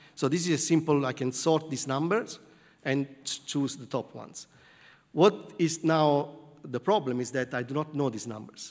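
Over a quiet background, a man speaks at a moderate pace with a fairly high pitch and ordinary pitch variation. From southern Italy. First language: Italian. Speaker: computer science professor. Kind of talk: lecture. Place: hall.

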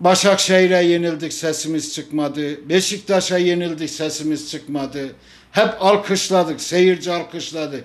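This man's voice sits at a high pitch with fairly even intonation. He speaks at a fairly slow pace. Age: 60s. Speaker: football fan. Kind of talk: impassioned appeal. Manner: emotional; forceful. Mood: upset, protesting. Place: home room. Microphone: handheld.

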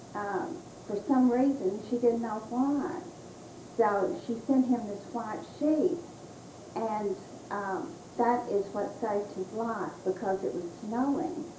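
Amid audible room echo and light background noise, a woman with a fairly high pitch speaks at a very slow pace with lively intonation. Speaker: family member recalling history. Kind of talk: interview answer, family storytelling. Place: home room. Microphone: old recording.

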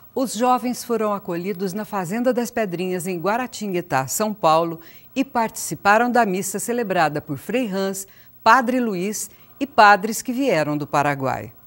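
With lively intonation and a medium pitch, a woman speaks at a fairly slow pace in an unremarkable speaking voice. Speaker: video narrator. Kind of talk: scripted narration.

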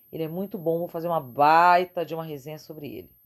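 A woman's fairly low-pitched voice comes over a quiet background. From Brazil. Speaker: beauty vlogger. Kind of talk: product review vlog. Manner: animated. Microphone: phone near.

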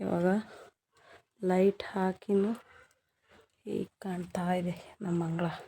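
Soft-spoken, a woman talks at medium pitch in a dark, mellow tone with monotone, flat intonation. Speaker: lifestyle vlogger, homemaker. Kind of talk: daily vlog narration. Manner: quiet, speaking softly while child sleeps.

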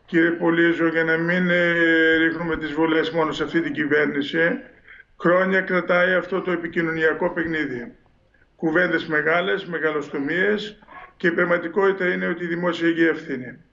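At a moderate pace, a man speaks in a high pitch with fairly even intonation. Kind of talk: interview answer. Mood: critical, earnest. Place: home room. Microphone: video call.

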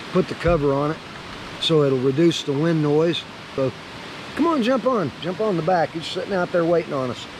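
A man's high-pitched voice, dry with no echo, over noticeable background noise. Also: fairly quick pace. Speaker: motorcycle travel vlogger. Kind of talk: casual vlog chat. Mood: relaxed, friendly. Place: open country. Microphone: phone near.

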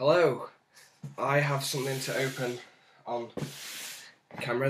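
Speaking at a moderate pace, a man keeps his medium-pitched voice monotone and flat. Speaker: cosplayer. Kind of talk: casual talk to camera.

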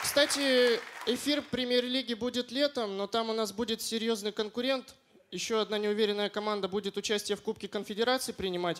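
Over light background noise, a man talks at a fairly quick pace in a high pitch with fairly even intonation. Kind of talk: stage comedy monologue. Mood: deadpan, understated delivery. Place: stage. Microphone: handheld.

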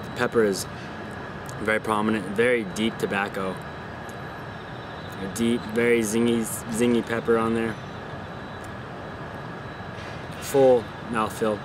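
A man speaks in a monotone, flat intonation with long, frequent pauses. The sound is dry with no echo, and there is noticeable background noise. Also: fairly slow pace. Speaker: cigar reviewer. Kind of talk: casual review commentary. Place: garden. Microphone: phone near.

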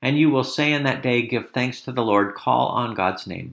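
The speaker is a man with a medium pitch and vocal fry. His intonation stays fairly even. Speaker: church prayer leader. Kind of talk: spoken prayer, solemn and devotional, followed by an intoned Amen. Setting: online video. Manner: slow, reverent, gentle and measured.

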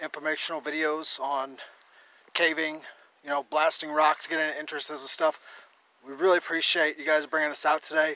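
A man speaks in a flat monotone, with a dry sound and no echo. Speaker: caving vlogger. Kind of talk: casual vlog chat. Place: open country. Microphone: phone near.

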